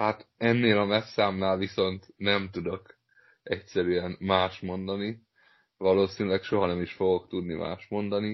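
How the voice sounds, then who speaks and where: A man speaks at a fairly slow pace in a very deep, low voice with monotone, flat intonation. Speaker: football podcast host. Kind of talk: casual chat.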